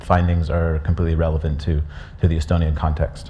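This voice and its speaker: Audible room echo and noticeable background noise accompany a man speaking with an American accent. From USA. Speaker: conference speaker presenting a research report. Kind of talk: conference presentation. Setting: conference stage with audience. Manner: hesitant, many fillers and restarts.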